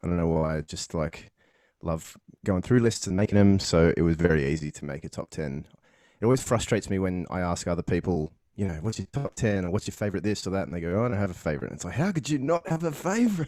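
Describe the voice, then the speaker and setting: In a very clean recording with a silent background, a man with an Australian accent speaks very fast in a very deep, low voice that has a dark, mellow tone and lively intonation. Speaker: podcast host. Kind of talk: casual interview chat.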